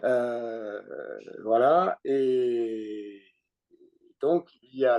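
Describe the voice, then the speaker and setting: A man's dark, mellow tone, dry and close with no echo. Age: 60s. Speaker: retired sailor, boat owner. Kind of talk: presentation to an online group. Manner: hesitant, many fillers.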